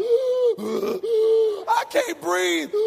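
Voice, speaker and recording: A man puts on a character voice over clear background noise. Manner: faked, dramatic.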